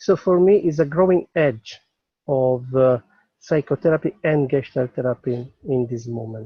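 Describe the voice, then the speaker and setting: Speaking fairly slowly with a non-native accent, a man uses a fairly high, somewhat breathy voice with ordinary pitch variation. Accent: foreign accent in English. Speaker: psychotherapist. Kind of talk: webinar invitation. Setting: outdoors in the mountains. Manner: halting.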